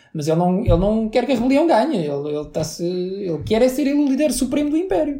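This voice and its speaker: Speaking with a European Portuguese accent, a man talks at a fairly quick pace with hardly any pauses, his dark, mellow voice pitched high and moving through very wide pitch swings. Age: 30s. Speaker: podcast co-host. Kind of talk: casual chat.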